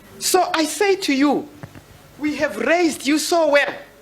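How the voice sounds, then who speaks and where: Over noticeable background noise, a woman with a high pitch speaks at a fairly slow pace. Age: 70s. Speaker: women's rights elder. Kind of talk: panel discussion.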